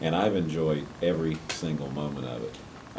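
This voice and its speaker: Over noticeable background noise and audible room echo, a man speaks at a very deep, low pitch. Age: 60s. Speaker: university president. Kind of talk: interview. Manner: halting.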